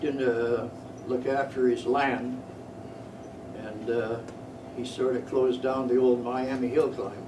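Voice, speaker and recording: The delivery is fairly slow and monotone, with flat intonation and long, frequent pauses over noticeable background noise. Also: man. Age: 80s+. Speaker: retired motorcyclist, World War II-era veteran rider. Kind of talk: club talk, reminiscing to an audience. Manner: casual, halting.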